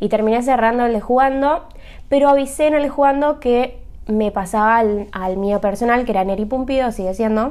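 The pitch varies in an ordinary way. The pace is moderate. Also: woman, high pitch for a woman. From Argentina, Buenos Aires. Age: 30s. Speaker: podcaster, hotel worker. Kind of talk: casual monologue.

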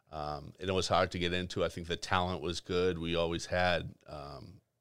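The speaker has a Boston accent and a flat, monotone delivery. The recording is very clean, with a silent background. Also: man. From Boston, West Roxbury. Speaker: nightlife promoter. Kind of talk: casual chat.

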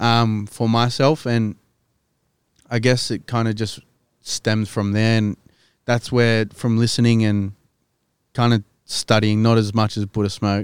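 A man in a Sydney accent, fairly slow and monotone, with long, frequent pauses and a dry, close sound free of echo. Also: medium pitch for a man. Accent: Australian (Western Sydney). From Western Sydney, Australia. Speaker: rapper. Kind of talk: casual chat.

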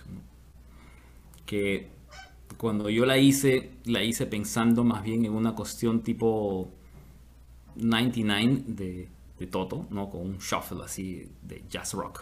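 A man's voice with big swings in loudness. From Peru. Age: 50s. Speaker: musician. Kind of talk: interview.

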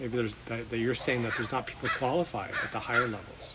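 With an American accent, a man talks against noticeable background noise. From Washington State, US. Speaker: host's father. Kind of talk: casual family interview.

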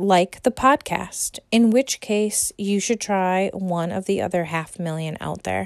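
A plain, everyday voice with an American accent moves at a fairly slow pace with lively intonation. The recording is very clean, with a silent background and a dry, close sound with no echo. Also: woman. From United States. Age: 30s. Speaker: podcast host. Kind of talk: monologue rant. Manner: scripted reading.

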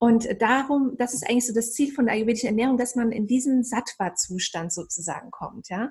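A woman's calm, dark, mellow voice at a fairly high pitch, with ordinary pitch variation and a moderate pace. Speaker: meditation and ayurveda coach. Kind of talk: casual chat.

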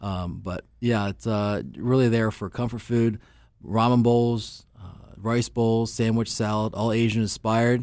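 In a very clean recording with a silent background, a man speaks at medium pitch. His delivery is fairly slow, with monotone, flat intonation. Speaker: chef, restaurant owner. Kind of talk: casual chat. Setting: studio.

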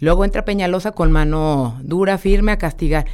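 A woman at a moderate pace. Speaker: mayoral candidate, politician. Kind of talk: radio interview. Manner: energetic; direct.

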